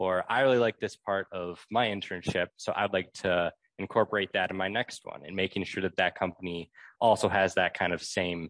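A man with an American accent speaks at a moderate pace in a very deep, low voice with fairly even intonation. The sound is dry and close with no echo, over a quiet background. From Wisconsin, Milwaukee. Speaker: packaging student and intern. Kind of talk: casual interview.

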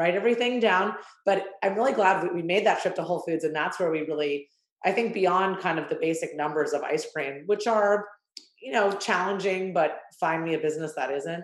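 Speaking at a fairly quick pace, this is a plain, everyday voice with ordinary pitch variation. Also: woman, medium pitch for a woman. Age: 30s. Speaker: ice cream company founder. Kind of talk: interview.

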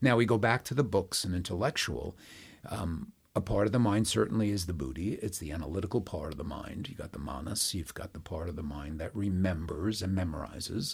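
A man talks at a fairly quick pace, his voice very deep and low in pitch. His intonation is lively and his delivery somewhat breathy. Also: big swings in loudness. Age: 70s. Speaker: yoga and meditation teacher. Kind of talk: casual conversational teaching.

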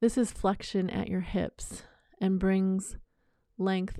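On a very clean recording with a silent background, a woman of medium pitch speaks fairly slowly in a dark, mellow, calm and soothing tone with monotone, flat intonation. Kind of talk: guided yoga meditation. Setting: solo recording for earbuds, home practice. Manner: slow, calm, soothing, with long pauses.

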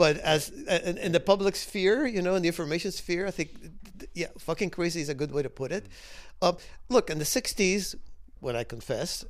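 In an American accent, the speaker goes at a moderate pace on a very clean recording with a silent background. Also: man. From Cuba, emigrated to the US as a child. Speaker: author and former intelligence analyst. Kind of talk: interview conversation.

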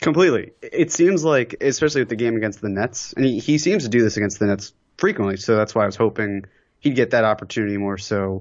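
Pitch shifting in a typical way, an unremarkable speaking voice talks fairly quickly. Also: man. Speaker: podcast guest. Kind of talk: casual chat.

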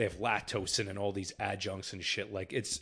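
A man with an American accent at a very fast pace, against a quiet background. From New Jersey. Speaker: podcast co-host. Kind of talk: casual chat.

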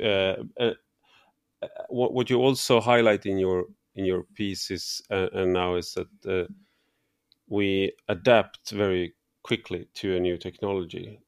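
On a very clean recording with a silent background, a man speaks fairly slowly in a fairly low pitch, with fairly even intonation and long, frequent pauses. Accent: Swedish. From Sweden. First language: Swedish. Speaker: podcast host. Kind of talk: interview conversation. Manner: halting.

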